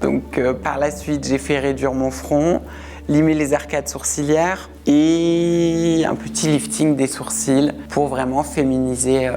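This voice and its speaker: Noticeable background noise sits under this woman's voice. She speaks at a very slow pace. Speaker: interviewee sharing personal story. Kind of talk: testimony. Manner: casual, conversational.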